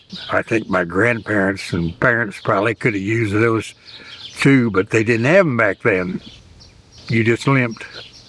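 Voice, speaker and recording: A man with a Midwestern US accent speaks at a moderate pace in a medium pitch with ordinary pitch variation. Noticeable background noise is present. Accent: rural Midwestern US. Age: 80s+. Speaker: dairy farmer. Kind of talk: interview testimony. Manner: halting.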